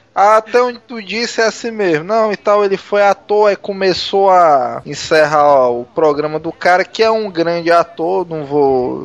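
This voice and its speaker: Despite a fairly slow pace, a high-pitched man barely pauses, his intonation lively over noticeable background noise. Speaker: podcast co-host. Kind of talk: casual chat.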